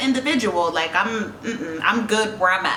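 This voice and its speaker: A stern tone with a slight Jamaican accent, amid noticeable background noise and audible room echo. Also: woman. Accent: slight Jamaican tinge. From New York (Queens), Jamaican family. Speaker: YouTuber, reality TV personality. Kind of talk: casual Q&A vlog. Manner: stern-sounding tone.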